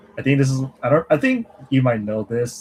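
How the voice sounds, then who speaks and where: A somewhat breathy man talks at a fairly quick pace in a medium pitch, with a dry, close sound and no echo. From English-speaking country, Mandarin-speaking family. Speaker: language learning streamer. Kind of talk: casual livestream Q&A chat. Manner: casual, halting with restarts.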